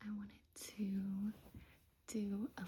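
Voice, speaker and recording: Whispering, the speaker stays soft-spoken throughout. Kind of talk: ASMR show-and-tell of gifts. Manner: soft-spoken, whispered.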